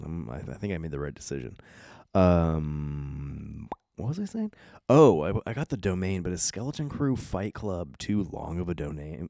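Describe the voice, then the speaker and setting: Over a silent background in a very clean recording, a man with a very deep, low pitch and a dark, mellow tone speaks at a moderate pace, his pitch swinging very widely. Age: 30s. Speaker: podcast host. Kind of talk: casual monologue. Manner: rambling, self-interrupting.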